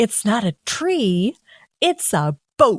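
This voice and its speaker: A put-on character voice, female-sounding and fairly high, with very wide pitch swings. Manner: condescending, slow, over-enunciated.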